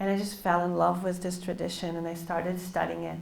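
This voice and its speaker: A woman speaks with an Israeli accent. Her voice carries audible room echo. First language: Hebrew. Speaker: novelist. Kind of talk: book talk interview. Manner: hesitant, many fillers.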